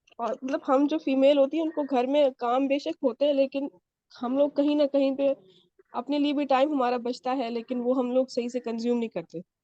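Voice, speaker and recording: A woman speaks at a high pitch and a moderate pace. Her intonation is fairly even, in a dry, close sound with no echo. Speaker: student. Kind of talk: testimonial feedback.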